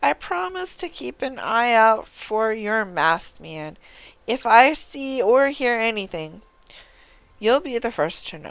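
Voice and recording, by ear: A woman's put-on character voice, fairly high-pitched and fairly bright, with a clear, smooth tone, big pitch swings and a slow pace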